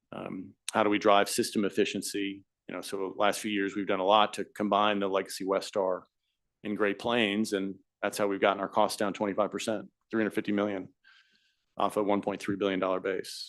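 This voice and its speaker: Fairly low male voice at a fairly quick pace, monotone and flat in intonation, over a quiet background. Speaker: utility company executive testifying as witness. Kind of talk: hearing testimony under questioning. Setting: regulatory hearing room, live streamed. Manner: fast.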